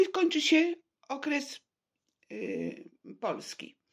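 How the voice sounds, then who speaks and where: The woman speaking has a high pitch. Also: quiet background. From Poland, Warsaw. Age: 70s. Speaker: vlogger telling personal story. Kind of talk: personal testimony monologue; personal testimony, casual monologue. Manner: halting. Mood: serious, aggrieved. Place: home room. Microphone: phone near.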